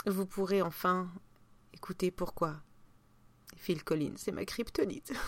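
Speaking very slowly with long, frequent pauses, a woman uses a medium pitch and ordinary pitch variation. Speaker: podcast host. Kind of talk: casual chat. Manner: hesitant, many fillers.

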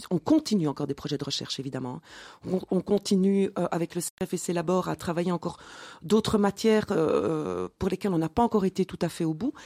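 A woman's fairly low, dark, mellow voice with ordinary pitch variation, on a very clean recording with a silent background and a dry, close sound with no echo. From Belgium, Mons (Wallonia). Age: 40s. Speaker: entrepreneur. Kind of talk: interview.

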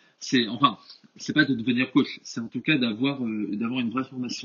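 At a moderate pace, a man talks in a medium pitch. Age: 20s. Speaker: engineering student and personal trainer. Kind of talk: podcast interview. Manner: hesitant, many fillers.

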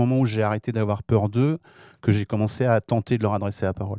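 A man's fairly low voice with a dark, mellow tone and fairly even intonation, dry and close with no echo, on a very clean recording against a silent background. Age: 60s. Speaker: audio creator. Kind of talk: radio discussion.

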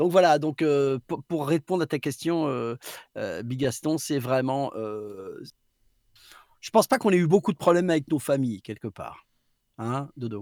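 In a very clean recording with a silent background and a dry, close sound with no echo, a man speaks at a fairly high pitch with lively intonation. His pace is fairly slow, with long, frequent pauses. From southwest France, Basque coast. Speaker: voice actor. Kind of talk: casual chat. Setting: live stream.

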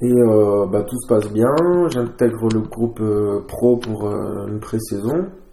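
A man talks very slowly at a medium pitch, with ordinary pitch variation. His tone is dark and mellow, and his loudness swings widely. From southern France. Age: 20s. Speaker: rugby player. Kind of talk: casual interview. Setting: at his home. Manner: halting.

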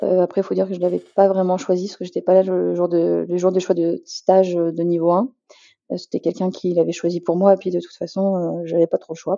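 The voice belongs to a woman at medium pitch. Her intonation is fairly even. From Paris region, rural Beauce. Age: 30s. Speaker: general practitioner. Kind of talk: interview. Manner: halting.

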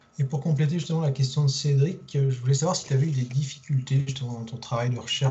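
With hardly any pauses, a man speaks at a very fast pace in fairly high pitch with fairly even intonation. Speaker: podcast host. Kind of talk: podcast interview. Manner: hesitant, repeats words.

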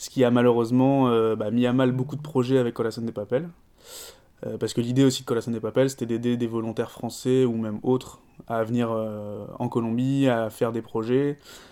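Speaking at a medium pitch, the man has a dark, mellow tone. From France. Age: 30s. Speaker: coffee shop owner. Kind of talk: interview. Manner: hesitant with fillers.

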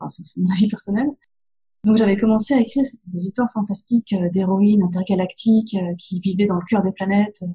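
A woman with a medium pitch speaks at a fairly quick pace with fairly even intonation. Her tone is dark and mellow, and somewhat breathy. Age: young. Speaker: novelist. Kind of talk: interview.

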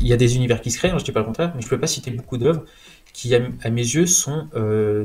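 Speaking at a moderate pace, a man with a medium pitch and ordinary pitch variation sounds somewhat breathy. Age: 20s. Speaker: comics enthusiast. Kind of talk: casual chat.

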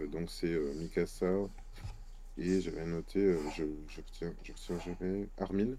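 Speaking at a very slow pace, a man uses a very deep, low pitch and a dark, mellow tone. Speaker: comic book author and illustrator. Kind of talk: casual chat.

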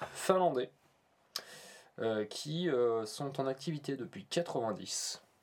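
A man with a Norman accent and a fairly high pitch speaks at a very slow pace with lively intonation and long, frequent pauses. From Normandy, France. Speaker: podcast co-host. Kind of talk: casual chat. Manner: halting.

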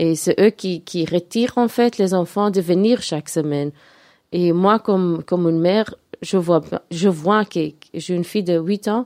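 A woman speaks with a dark, mellow tone and a fairly low pitch at a fairly slow pace, with ordinary pitch variation. The sound is dry and close with no echo, in a very clean recording with a silent background. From Belgium (Antwerp). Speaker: youth movement committee member. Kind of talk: radio interview. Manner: halting, repetitive.

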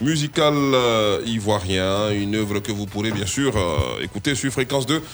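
Noticeable background noise behind a man's moderate-paced delivery with ordinary pitch variation. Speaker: radio host. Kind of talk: satirical news talk show.

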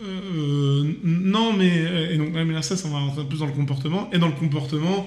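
Amid audible room echo, a man speaks at a very slow pace with ordinary pitch variation. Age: 30s. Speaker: podcast guest. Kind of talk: casual debate.

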